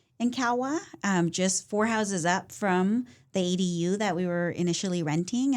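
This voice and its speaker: On a very clean recording with a silent background, a woman with a Californian accent speaks at a fairly low pitch with ordinary pitch variation. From Central Valley, California (Fresno area). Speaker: political candidate. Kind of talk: interview.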